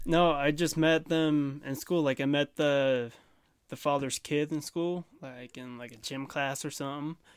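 A man speaks in an unremarkable speaking voice, fairly high in pitch, at a fairly slow pace with fairly even intonation. His loudness swings a lot, and the recording is very clean with a silent background. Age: young. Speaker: young ranch hand. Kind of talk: casual chat. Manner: laughs often.

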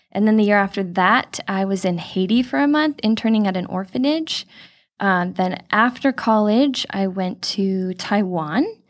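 In a very clean recording with a silent background, a woman speaks at a medium pitch with a Californian accent. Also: lively intonation, moderate pace. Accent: General American (Californian). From Southern California (Chino Hills). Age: 20s. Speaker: future missionary, church member. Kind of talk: casual interview. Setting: studio.

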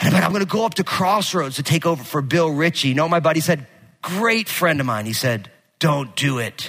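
In an animated tone, a man talks at a fairly quick pace with a fairly high pitch and lively intonation. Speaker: pastor. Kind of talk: sermon. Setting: church. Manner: loud.

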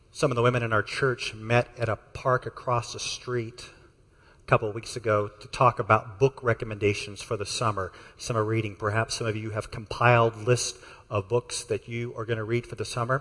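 Fairly quick speech in an American accent comes with monotone, flat intonation and big swings in loudness. The background is quiet. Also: man, medium pitch for a man. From Texas. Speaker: pastor. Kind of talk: sermon. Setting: church.

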